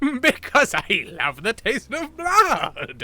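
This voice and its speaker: A man speaks at a very slow pace, using a put-on character voice. His pitch is extremely high. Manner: giggling, spoken through giggles.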